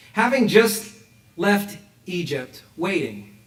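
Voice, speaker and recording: The recording has audible room echo and noticeable background noise. A man talks at a high pitch. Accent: American. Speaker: rabbi. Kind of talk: sermon. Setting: synagogue with congregation, also streamed online. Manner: animated, rhetorical questions.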